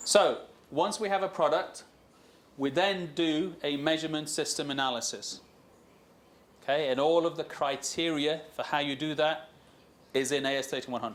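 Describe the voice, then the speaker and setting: Speech moves at a moderate pace with ordinary pitch variation and long, frequent pauses. Room echo is audible. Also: man. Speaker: supplier quality executive presenting at a forum. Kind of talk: conference presentation. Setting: stage with audience.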